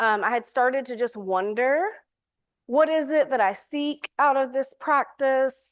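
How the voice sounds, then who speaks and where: A woman speaks at a moderate pace with a high pitch, a Southern US accent and lively intonation over a quiet background. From US South, Alabama. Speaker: priest and recovery coach. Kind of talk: talk to a church audience.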